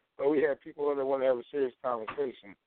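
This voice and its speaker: With ordinary pitch variation, the man holds a pitch in the middle of the male range. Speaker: call-in internet radio show host. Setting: phone line. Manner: calm, steering the conversation.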